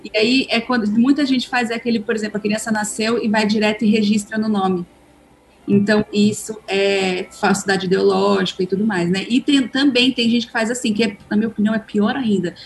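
There is music in the background. The pace is moderate. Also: woman, fairly high pitch for a woman. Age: 30s. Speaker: author and adoptive mother. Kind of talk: casual chat.

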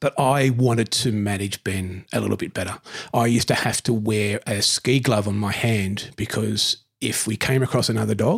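Moderate-paced, somewhat breathy speech with an Australian accent and fairly even intonation, in a dry, close sound with no echo. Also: man. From Newcastle, New South Wales, Australia. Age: 50s. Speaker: council ranger. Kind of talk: casual interview.

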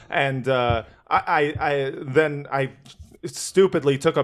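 A man speaks in a fairly high pitch. His tone is animated. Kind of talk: casual chat. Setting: studio.

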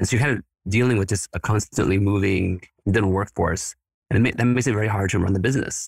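At a very fast pace, the somewhat breathy voice keeps ordinary pitch variation and very even loudness, recorded very cleanly against a silent background with a dry, close sound and no echo. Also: man, fairly low pitch for a man. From Mexico City, then Houston from age fourteen. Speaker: dental staffing company co-owner, former attorney. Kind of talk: interview, business pitch.

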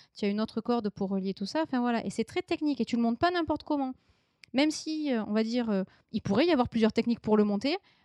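At a very fast pace, a woman with a fairly high pitch and a dark, mellow tone uses lively intonation over a quiet background, the sound dry and close with no echo. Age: 30s. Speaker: illustrator. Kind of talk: interview.

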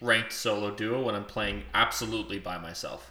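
Noticeable background noise and audible room echo surround this recording. A man talks in a medium pitch at a moderate pace. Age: 20s. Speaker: podcast co-host. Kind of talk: casual chat.

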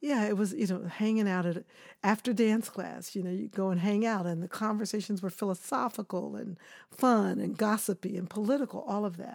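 An ordinary speaking voice from a woman with an American accent, medium pitch, ordinary pitch variation, fairly quick pace. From Kansas City, Missouri. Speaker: choreographer. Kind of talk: interview.

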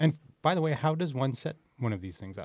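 Against a quiet background, a man with a Canadian accent speaks with very wide pitch swings. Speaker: podcast host. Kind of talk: casual chat. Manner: animated.

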